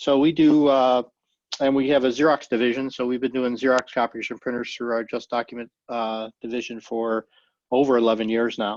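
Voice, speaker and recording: In a dry, close sound with no echo, a man of medium pitch talks at a fairly quick pace in a monotone, flat intonation. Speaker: IT company co-founder and trainer. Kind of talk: webinar presentation. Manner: fast; hesitant with many fillers.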